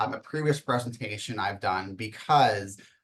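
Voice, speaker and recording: Here is a man with an unremarkable speaking voice. He talks at a moderate pace with a medium pitch. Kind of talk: webinar presentation.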